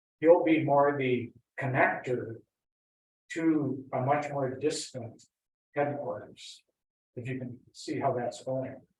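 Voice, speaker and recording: Somewhat breathy, a man with an American accent speaks at a fairly high pitch and a very slow pace, with long, frequent pauses. His intonation is fairly even, while his loudness swings widely. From US Midwest (Wisconsin, Iowa). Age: 70s. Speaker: Franciscan priest. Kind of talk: informal talk to a lay group. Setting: school library gathering, also on Zoom. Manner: conversational, with fillers and restarts.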